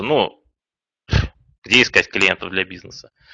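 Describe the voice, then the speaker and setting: Heard in a dry, close sound with no echo, a man speaks with a bright, sharp tone. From Kazan, Tatarstan. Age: 30s. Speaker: online business trainer. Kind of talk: webinar presentation. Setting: online webinar. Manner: calm. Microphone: new microphone.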